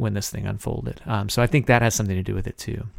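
On a very clean recording with a silent background, a man with an Alabama accent speaks at a fairly low pitch. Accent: Southern US (Alabama). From US South, Alabama. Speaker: podcast host and journalist. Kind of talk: interview.

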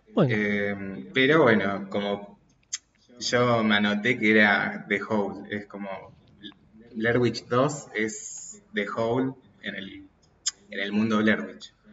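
A man speaks at a very slow pace with long, frequent pauses. His voice is fairly low in pitch, with ordinary pitch variation. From Argentina, Mendoza. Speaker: podcast guest, friend of host. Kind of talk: casual chat.

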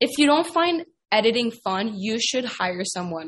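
The voice belongs to a woman. She keeps to a moderate pace. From Quebec, Canada. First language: French. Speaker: professional soccer player. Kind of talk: casual interview chat. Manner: casual, laid-back.

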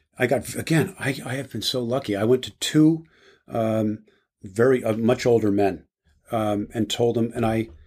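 A man's unremarkable speaking voice with an American accent, medium in pitch, with ordinary pitch variation and a moderate pace. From New Jersey, US. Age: 60s. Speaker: business executive and board member. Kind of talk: casual interview.

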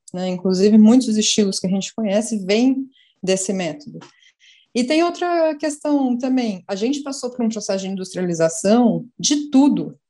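A woman's somewhat breathy voice, fairly high in pitch yet dark and mellow in tone, with lively intonation at a moderate pace. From Brazil, São Paulo. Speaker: journalist, beer communication specialist. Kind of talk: casual panel interview.

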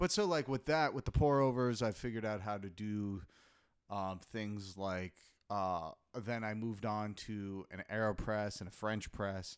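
A man with an unremarkable speaking voice talks at a fairly low pitch with ordinary pitch variation. The recording is very clean, with a silent background. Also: fairly slow pace. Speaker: podcast co-host. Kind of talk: casual chat. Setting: home studio recording. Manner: joking, playful.

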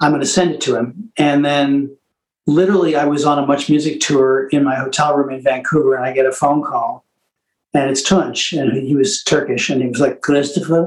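Pitched fairly high, a man speaks in an unremarkable speaking voice. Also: fairly even intonation, fairly quick pace. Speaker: singer-songwriter. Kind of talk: interview.

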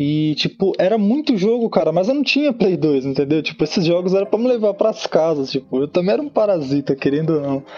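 Lively intonation from a man at a fairly quick pace, with noticeable background noise. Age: 30s. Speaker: fan page administrator. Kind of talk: casual chat.

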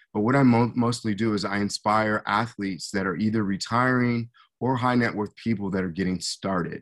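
With an American accent, a man talks in a normal speaking voice at a moderate pace and with fairly even intonation on a very clean recording with a silent background. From US Midwest, Hutchinson, Kansas. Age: 50s. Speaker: former pro football player, motivational speaker. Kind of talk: podcast interview.

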